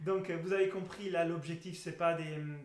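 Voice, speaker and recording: A man with an Italian accent speaks at a high pitch. The recording has audible room echo and noticeable background noise. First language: Italian (speaking French). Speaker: breathing method instructor. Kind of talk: educational talk. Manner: halting.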